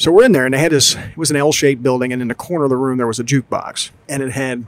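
Over noticeable background noise, a man with an American accent talks very fast at a medium pitch with ordinary pitch variation. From US Northeast, South Jersey. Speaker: podcast co-host, father. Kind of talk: casual chat. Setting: outdoors in a brewery beer garden.

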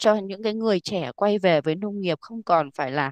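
A woman with a normal speaking voice, medium pitch and lively intonation. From Vietnam, rural hill region. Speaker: organic farming company staff. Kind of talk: interview.

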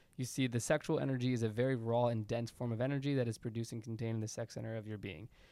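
A man talks at a very fast pace in a medium-pitched voice. His intonation stays fairly even. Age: 20s. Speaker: podcast co-host. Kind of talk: casual chat.

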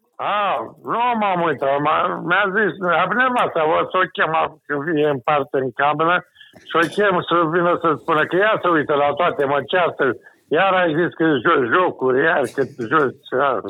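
This man talks at a moderate pace in an unremarkable speaking voice, with a fairly high pitch and ordinary pitch variation. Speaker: caller. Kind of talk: casual chat. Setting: phone call.

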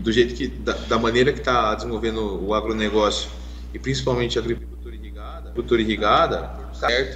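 Fairly quick talk from a man amid noticeable background noise and audible room echo. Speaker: podcast co-host, irrigation professional. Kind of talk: casual chat. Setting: live stream.

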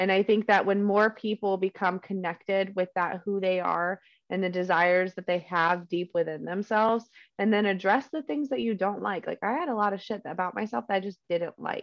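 At a fairly quick pace, a woman speaks in a medium pitch. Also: ordinary pitch variation. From United States. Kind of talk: casual chat. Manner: passionate, swears casually.

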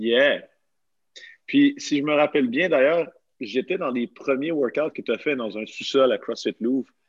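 A man with a fairly high pitch speaks at a fairly slow pace with long, frequent pauses and ordinary pitch variation, in a dry, close sound with no echo. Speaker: podcast host, CrossFit coach. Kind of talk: casual chat.

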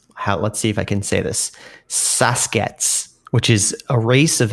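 A man talks in an unremarkable speaking voice. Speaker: podcast co-host. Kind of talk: casual comedic chat. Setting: remote video call.

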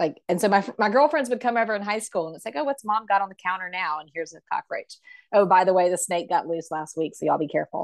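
In a South Carolina accent, a woman talks very fast with lively intonation and big swings in loudness, the sound dry and close with no echo. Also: medium pitch for a woman. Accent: US Southern (South Carolina). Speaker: hunter and volunteer. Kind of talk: interview.

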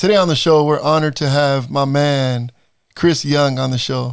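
Speaking with an American accent, the voice is an ordinary speaking voice at a fairly slow pace with fairly even intonation. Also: man. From Salinas, California. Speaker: podcast host and basketball coach. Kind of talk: interview.

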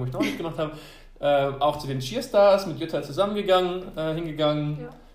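The voice moves at a fairly quick pace with ordinary pitch variation, amid audible room echo and noticeable background noise. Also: man. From France. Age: 20s. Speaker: doctoral student and university cheer coach. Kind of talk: interview.

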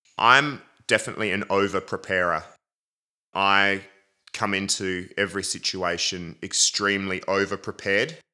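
At a moderate pace, a man with an Australian accent speaks in a fairly low pitch with fairly even intonation and a bright, sharp tone, on a very clean recording with a silent background. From Adelaide, South Australia. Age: 30s. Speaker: drummer. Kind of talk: casual interview.

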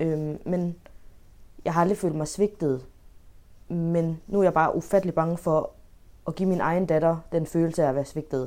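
This woman's fairly low voice has a dark, mellow tone, moving at a moderate pace with fairly even intonation and long, frequent pauses. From Denmark. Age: 20s. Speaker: home care worker, adoptee. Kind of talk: casual chat. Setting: video call. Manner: halting, repeats words.

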